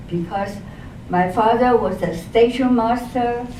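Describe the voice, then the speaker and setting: A woman speaks with a Chinese accent and ordinary pitch variation. Room echo is audible. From eastern China, Jiangsu. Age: 80s+. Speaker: elderly speaker telling life story. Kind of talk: personal testimony talk. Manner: halting, many hesitations.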